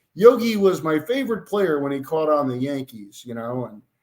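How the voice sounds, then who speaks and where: Speaking at a moderate pace with lively intonation, a man uses a normal speaking voice with a fairly high pitch. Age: 60s. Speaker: author. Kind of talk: storytelling interview.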